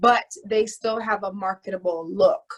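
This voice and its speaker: With an American accent, a woman has a normal speaking voice. Her pitch is fairly high, with ordinary variation. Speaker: actress. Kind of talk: interview.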